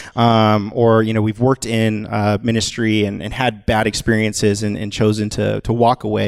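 A man speaks at a fairly low pitch in a monotone, flat way. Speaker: church creative director giving announcements. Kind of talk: casual, conversational. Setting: stage, church service. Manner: fast talker.

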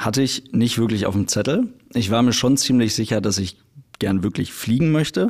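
A man's medium-pitched voice, an unremarkable speaking voice. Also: ordinary pitch variation, moderate pace. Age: 20s. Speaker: airline pilot and YouTuber. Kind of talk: casual interview chat.

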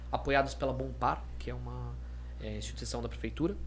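In a room with audible echo, a man with a very deep, low pitch talks at a moderate pace in a monotone, flat, somewhat breathy delivery. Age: 30s. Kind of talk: casual chat.

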